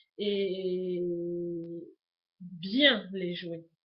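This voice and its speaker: A woman speaks with a Toulouse accent. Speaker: YouTuber, lifestyle vlogger. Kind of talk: casual vlog introduction to webcam. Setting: home webcam recording. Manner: hesitant, many fillers (euh).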